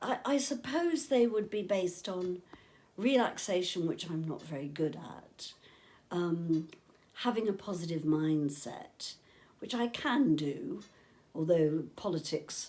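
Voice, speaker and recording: With an English accent, a woman speaks at a fairly slow pace in a fairly low pitch, her dark, mellow tone carrying lively intonation and big swings in loudness. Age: 70s. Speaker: interviewee with motor neurone disease. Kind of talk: casual chat.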